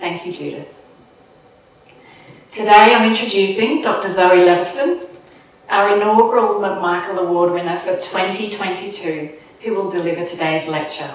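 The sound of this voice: A woman at medium pitch with ordinary pitch variation, a moderate pace, long, frequent pauses and strong room echo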